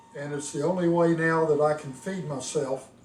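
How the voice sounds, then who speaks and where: Noticeable noise in the background beneath fairly even intonation. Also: man. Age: 70s. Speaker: retired engineer with ALS sharing his experience. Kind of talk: personal video diary. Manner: casual, with fillers.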